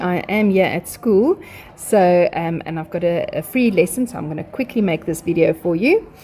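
With ordinary pitch variation, a woman's speech moves at a moderate pace. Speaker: maths teacher. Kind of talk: tutorial. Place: classroom.

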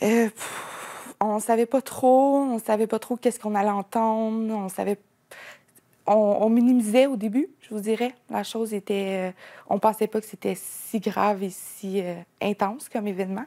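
A woman speaks in a dark, mellow tone at a fairly slow pace with fairly even intonation. The sound is dry and close with no echo, in a very clean recording with a silent background. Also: fairly high pitch for a woman. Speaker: mother of alleged abuse victims. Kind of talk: news interview. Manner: halting.

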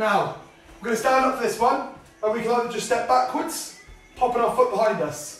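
Over faint background music and audible room echo, a man with an extremely high pitch talks at a fairly quick pace with ordinary pitch variation. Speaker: fitness instructor. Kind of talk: tutorial. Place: home room. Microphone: camera far.

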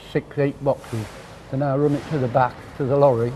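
A man with a fairly high pitch talks in a monotone, flat intonation while noticeable background noise carries on behind him. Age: 80s+. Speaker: fish market carting agent. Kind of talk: interview answer.

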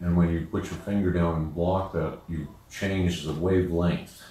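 A man's very deep, low, somewhat breathy voice with a dark, mellow tone, fairly even intonation and a fairly slow pace, in audible room echo. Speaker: music teacher. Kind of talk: lecture. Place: home room.

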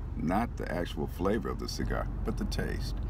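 Vocal fry at a fairly slow pace, in a dry sound with no echo over noticeable background noise. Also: man. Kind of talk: tutorial. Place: car. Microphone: phone near.

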